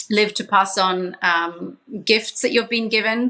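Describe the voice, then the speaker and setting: A woman speaks at a fairly high pitch with a slight Australian accent. Her intonation stays fairly even. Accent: slight Australian twang. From Papua New Guinea, Swiss parents. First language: Pidgin English and English, Swiss family. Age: 40s. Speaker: social entrepreneur, charity founder. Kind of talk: podcast interview.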